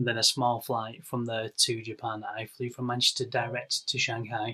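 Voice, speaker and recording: Here is a man with an English accent and a bright, sharp tone. His intonation stays monotone and flat. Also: medium pitch for a man, moderate pace. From northwest England. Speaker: podcast co-host. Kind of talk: casual chat.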